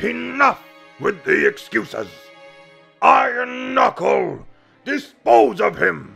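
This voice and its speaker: A man uses a put-on character voice, raised and projected, at a very slow pace. Faint music plays in the background. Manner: commanding, cold.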